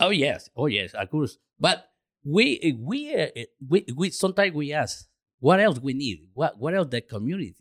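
A man's fairly high voice, with vocal fry and very wide pitch swings, moves at a moderate pace in a dry, close sound with no echo. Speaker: radio station co-owner. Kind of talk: interview. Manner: halting.

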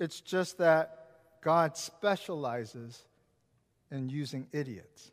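Against a silent background on a very clean recording, a man with an American accent talks at a very slow pace in a fairly high pitch. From US Pacific Northwest (Seattle). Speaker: pastor. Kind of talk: sermon.

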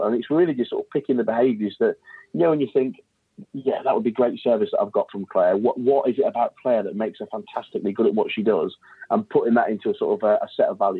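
Talking at a very fast pace, a man speaks with an East Midlands accent. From England, Leicestershire. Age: 30s. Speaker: mortgage business owner. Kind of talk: interview.

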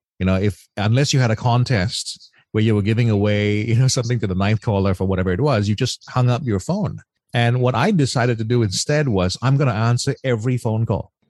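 This man has an Australian accent and a medium pitch with ordinary variation. He talks at a fairly quick pace with very even loudness. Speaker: former radio DJ. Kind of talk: casual interview.

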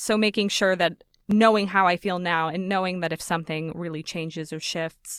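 A woman with a plain, everyday voice talks at a moderate pace in a fairly low pitch with fairly even intonation, on a very clean recording with a silent background. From Las Vegas, Nevada, US. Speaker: actor and podcaster. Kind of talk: interview. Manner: laughs often.

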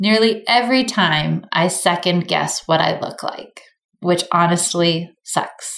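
Using an ordinary speaking voice, a woman talks at a fairly slow pace and medium pitch with ordinary pitch variation. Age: 40s. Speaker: podcast host and beauty business founder. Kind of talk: casual chat; reading aloud.

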